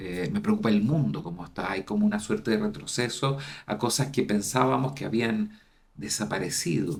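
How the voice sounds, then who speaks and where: A man speaks in a plain, everyday voice at a moderate pace, with lively intonation. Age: 60s. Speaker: university dean, psychologist. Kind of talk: interview conversation.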